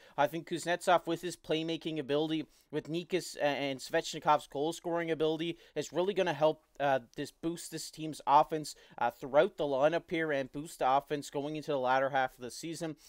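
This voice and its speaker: A man with a strong Newfoundland accent and a fairly high pitch talks fairly quickly with hardly any pauses and fairly even intonation, in a dry, close, echo-free and very clean recording with a silent background. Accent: thick Newfoundland. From Newfoundland, Canada. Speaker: hockey YouTuber. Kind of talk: casual commentary monologue. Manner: hesitant, many fillers.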